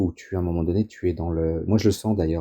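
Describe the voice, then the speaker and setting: A man with a dark, mellow tone speaks at a very fast pace in fairly even intonation, recorded dry and close with no echo. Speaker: astrologer. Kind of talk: interview. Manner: hesitant, repeats words.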